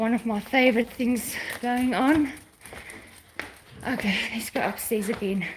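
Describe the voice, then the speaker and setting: A woman with a fairly high voice talks at a fairly slow pace with fairly even intonation and long, frequent pauses over noticeable background noise. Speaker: pet vlogger. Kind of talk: casual live chat. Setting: walking around home.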